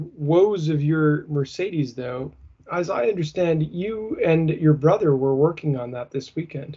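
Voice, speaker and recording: In a plain, everyday voice, a man speaks at a fairly slow pace with a fairly high pitch and ordinary pitch variation. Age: 30s. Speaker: car podcast co-host. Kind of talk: casual chat.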